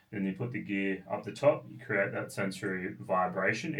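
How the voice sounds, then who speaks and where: At a fairly quick pace, a man with an Australian accent talks in a fairly low pitch with very wide pitch swings. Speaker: product designer and founder. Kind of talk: interview. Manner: fast; halting with fillers.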